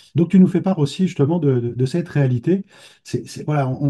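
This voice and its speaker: A man talks at a fairly quick pace with lively intonation. His tone is dark and mellow, and somewhat breathy. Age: 60s. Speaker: trainee therapist giving a testimonial. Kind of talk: interview testimony. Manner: halting, many repetitions and hesitations.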